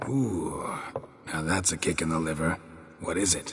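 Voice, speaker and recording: A man puts on a raspy character voice with a very deep, low pitch at a moderate pace. Clear background noise can be heard. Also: ordinary pitch variation. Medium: video game. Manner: terse, gruff.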